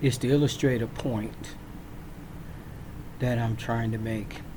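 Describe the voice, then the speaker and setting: A man's medium-pitched voice with an American accent, very slow pace and fairly even intonation, plus audible room echo. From Virginia. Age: 60s. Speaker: military veteran. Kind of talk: personal storytelling. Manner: casual, with frequent fillers.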